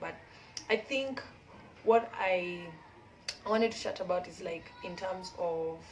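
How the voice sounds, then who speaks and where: Noticeable background noise accompanies a woman's voice. She has a medium pitch and ordinary pitch variation. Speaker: community founder and textile designer. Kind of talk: casual vlog chat. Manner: rambling, halting with many fillers.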